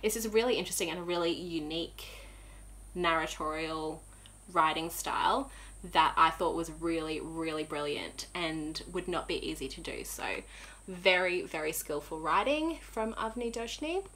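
A woman at a moderate pace with an Australian accent. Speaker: knitting podcaster. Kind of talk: casual chat. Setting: home room, windows shut. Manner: animated. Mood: enthusiastic, warm. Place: home room.

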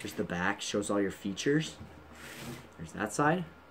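A fairly low-pitched man with ordinary pitch variation, against noticeable background noise. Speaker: gaming YouTuber. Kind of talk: unboxing video. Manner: casual, animated.

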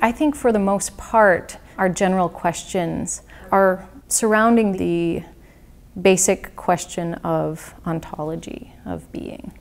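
Very slow delivery from a woman, medium in pitch, with ordinary pitch variation. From US Midwest, rural northern Wisconsin. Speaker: installation artist. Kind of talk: interview. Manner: reflective, hesitant with fillers.

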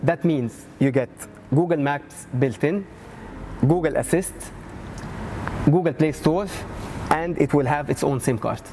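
A man's voice with ordinary pitch variation over background music. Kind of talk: product presentation. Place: shop. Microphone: lapel.

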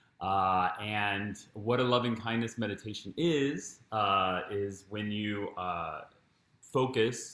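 Fairly low-pitched man with a bright, sharp tone, ordinary pitch variation, and audible room echo. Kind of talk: guided meditation introduction. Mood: warm, calm, friendly. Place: home room. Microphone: camera far.

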